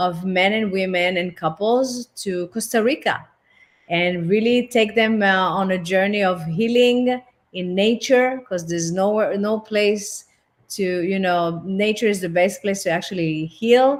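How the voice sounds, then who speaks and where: With a French accent, a woman speaks at a fairly slow pace in a medium pitch, her pitch varying in an ordinary way. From France. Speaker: relationship and intimacy therapist. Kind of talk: interview. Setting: online platform.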